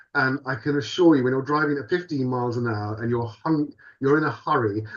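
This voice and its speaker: Talking at a fairly quick pace, a man with a British accent has a medium pitch and ordinary pitch variation. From UK. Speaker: podcast co-host. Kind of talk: casual chat. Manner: animated.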